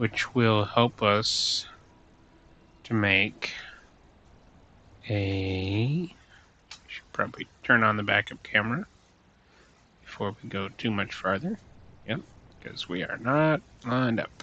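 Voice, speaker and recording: A man talks very slowly in a fairly low, bright, sharp voice. His loudness swings widely, and long, frequent pauses break up his speech. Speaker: gaming let's-play youtuber. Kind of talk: let's play gameplay commentary. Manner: speaking low; halting, many fillers.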